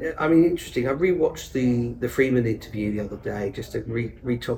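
Here a man talks fast with fairly even intonation. His tone is slightly mellow. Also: medium pitch for a man.

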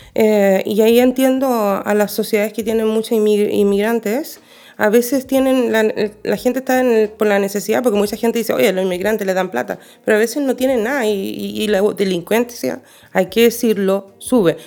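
The voice has a dark, mellow tone and comes with a Chilean accent. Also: woman, fairly high pitch for a woman, ordinary pitch variation, moderate pace. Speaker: podcast co-host. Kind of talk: casual chat.

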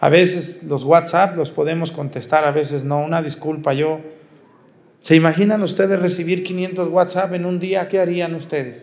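A man with a Mexican accent speaks at a high pitch and moderate pace with fairly even intonation. Audible room echo surrounds his voice. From Mexico, Jalisco. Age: 40s. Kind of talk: sermon. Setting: outdoor mass with congregation.

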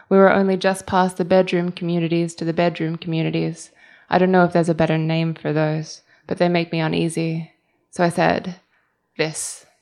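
In an Australian accent, a woman speaks at a fairly low pitch and a moderate pace. Her intonation is monotone and flat over a quiet background. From Australia (Melbourne). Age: 30s. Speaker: writer. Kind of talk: reading aloud. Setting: stage with audience.

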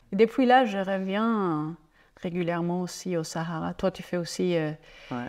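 In a very clean recording with a silent background, a woman with a German accent speaks fairly slowly at a fairly low pitch with ordinary pitch variation. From Germany, Franconia (northern Bavaria). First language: German (speaking French). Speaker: ecotourism entrepreneur. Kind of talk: interview conversation. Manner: halting, with repetitions.

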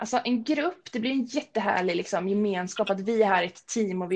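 Over noticeable background noise, a woman of medium pitch speaks at a fairly quick pace with ordinary pitch variation. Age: 30s. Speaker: personal trainer. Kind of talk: casual interview.

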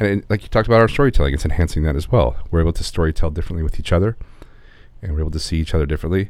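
Very fast and very deep, a man's voice runs with lively intonation and vocal fry. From Los Angeles area, California, US. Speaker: podcast co-host and video producer. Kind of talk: casual chat. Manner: halting.

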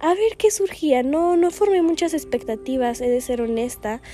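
Pitch swings very widely in this woman's speech. She goes at a fairly slow pace. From Guatemala. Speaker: podcast host. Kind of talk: reflective monologue. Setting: seated, solo recording.

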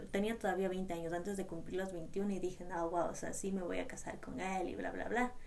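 A woman at medium pitch and moderate pace, with audible room echo and noticeable background noise. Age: 20s. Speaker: podcast co-host, trail runner. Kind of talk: casual chat.

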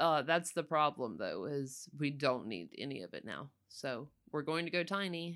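A woman with a Southern US accent and a very deep, low pitch speaks with vocal fry at a moderate pace, hardly pausing. Her intonation is lively and her loudness swings widely. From North Florida, rural Panhandle. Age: 40s. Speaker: cook, host's mother. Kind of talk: casual interview.

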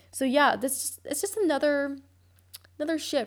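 Here a woman speaks with an American accent. Her pace is fairly quick. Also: very clean recording, silent background. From US. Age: 20s. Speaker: podcast host, college student. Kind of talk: casual monologue. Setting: seminar room in shared student house. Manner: casual, filler-heavy.

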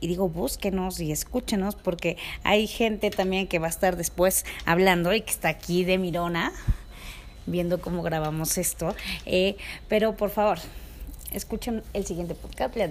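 A woman's fairly low voice with vocal fry, fairly even intonation, a moderate pace and long, frequent pauses. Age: 30s. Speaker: podcast host. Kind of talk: casual monologue. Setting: recording with others present. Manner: halting.

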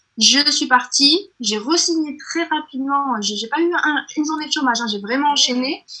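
A woman projects her high-pitched voice at a moderate pace. She uses ordinary pitch variation and hardly any pauses. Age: 30s. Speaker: entrepreneur. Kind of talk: interview. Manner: halting.

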